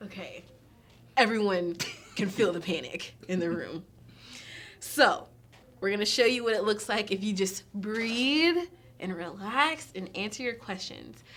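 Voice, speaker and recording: Noticeable background noise sits behind a woman speaking fairly slowly. Her intonation is lively, with long, frequent pauses. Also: medium pitch for a woman. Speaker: staffing trainer. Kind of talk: instructional demonstration.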